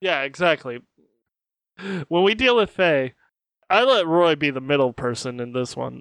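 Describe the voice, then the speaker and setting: A fairly high-pitched man at a moderate pace, lively in intonation, with long, frequent pauses. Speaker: player in a tabletop RPG podcast. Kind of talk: casual banter during a tabletop RPG session.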